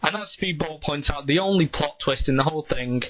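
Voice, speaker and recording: A man's voice with ordinary pitch variation. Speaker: comic book reviewer. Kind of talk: video review. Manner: hesitant, many ums.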